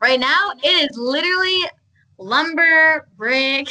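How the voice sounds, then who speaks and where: With an American accent, a woman projects a raised voice that has a bright, sharp tone and lively intonation. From Michigan. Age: 20s. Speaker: diesel mechanic and social media influencer. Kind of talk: casual chat.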